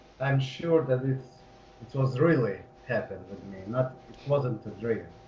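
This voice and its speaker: Big swings in loudness, with noticeable background noise and audible room echo. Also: man, medium pitch for a man, ordinary pitch variation, moderate pace. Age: 30s. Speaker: hypnosis client. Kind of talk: personal testimony. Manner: halting.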